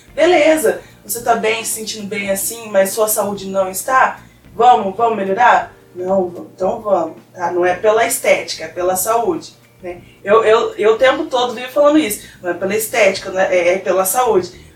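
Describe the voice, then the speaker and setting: A woman speaks at a moderate pace with a fairly high pitch. Noticeable background noise is present. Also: ordinary pitch variation. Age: 20s. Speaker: physical education graduate and weight-loss influencer. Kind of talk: casual chat.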